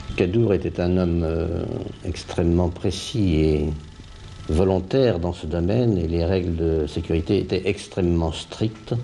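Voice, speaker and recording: At a fairly slow pace and with ordinary pitch variation, the voice comes through noticeable background noise. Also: man. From Paris region, France. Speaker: puppeteer, former activist. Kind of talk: interview testimony.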